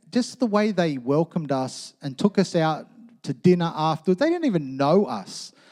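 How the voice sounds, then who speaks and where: A man with an Australian accent: high-pitched, dark and mellow in tone, lively in intonation, with dry, close sound, no echo and a very clean recording over a silent background. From Australia, western suburbs of Sydney. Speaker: pastor. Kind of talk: sermon. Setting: church. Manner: casual.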